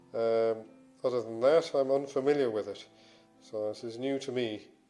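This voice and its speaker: A man speaks at a moderate pace with a medium pitch. His intonation stays fairly even, and music plays in the background. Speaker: fitness and smartwatch reviewer. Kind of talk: casual product review to camera.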